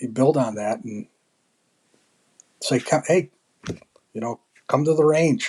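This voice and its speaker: A man talking at a moderate pace. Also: dry, close sound with no echo. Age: 60s. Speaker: military veteran and amateur sport shooter. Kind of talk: casual chat.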